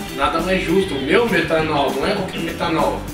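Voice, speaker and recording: Over clear music in the background, a man talks at a moderate pace with audible room echo. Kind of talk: casual vlog chat. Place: home room. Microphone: camera far.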